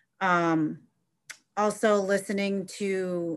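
A woman with an American accent at medium pitch, very slow pace and fairly even intonation. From Ohio. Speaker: high school social studies teacher. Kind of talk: panel discussion.

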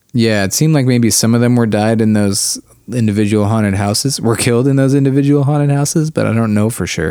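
Speaking at a very fast pace, a man has a dark, mellow tone at a medium pitch, with ordinary pitch variation and very even loudness. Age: 30s. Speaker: podcast co-host. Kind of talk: casual chat.

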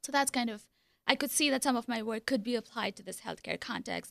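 A woman talks at a high pitch. The sound is dry and close with no echo. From India. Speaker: hospitality professor. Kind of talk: radio interview. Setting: studio.

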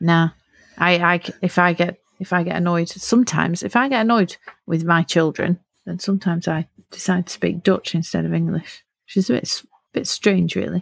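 In a plain, everyday voice, a woman speaks at a fairly quick pace with fairly low pitch and ordinary pitch variation, the sound dry and close with no echo. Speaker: linguist and podcast host. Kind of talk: podcast interview.

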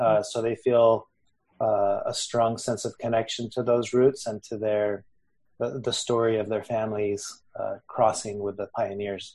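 Over a quiet background, a man with an American accent speaks at a fairly slow pace. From Texas and Mexico. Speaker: Buddhist podcast host. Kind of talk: interview.

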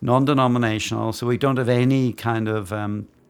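At a moderate pace, a man with a Northern Irish accent speaks in a monotone, flat intonation. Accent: Northern Irish (Belfast). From Northern Ireland, Belfast. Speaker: divinity school dean, historian. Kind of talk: interview. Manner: hesitant, many fillers.

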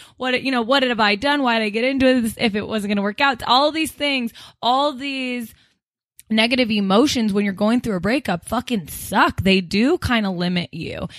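A woman with a normal speaking voice and a fairly high pitch talks at a moderate pace with ordinary pitch variation against a quiet background. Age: 20s. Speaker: podcast co-host. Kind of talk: casual chat. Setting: studio.

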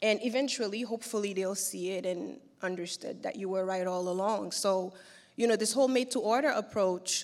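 A woman at a medium pitch with ordinary pitch variation and a fairly quick pace, in a very clean recording with a silent background. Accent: Haitian. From Haiti. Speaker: fashion brand founder. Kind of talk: interview. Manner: hesitant, many fillers.

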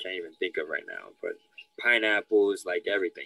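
A man speaks with a New York accent. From New York City, Lower East Side. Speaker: youth environmental educator. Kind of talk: interview.

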